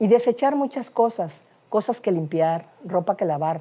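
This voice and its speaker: A woman speaks at a fairly slow pace with a dark, mellow tone and very wide pitch swings. The recording is very clean, with a silent background. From Veracruz, Mexico. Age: 60s. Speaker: architect and university lecturer. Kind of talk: life-story interview. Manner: halting, frequent fillers.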